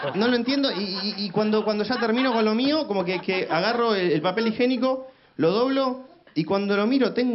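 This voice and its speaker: A man's high-pitched voice with a Rioplatense accent, lively intonation, and a fairly quick pace over noticeable background noise. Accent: Argentine Rioplatense Spanish. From Argentina. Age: 20s. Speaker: comedian; stand-up comedian. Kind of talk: stand-up. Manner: halting, repeated 'y, y, y'. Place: studio. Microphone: handheld.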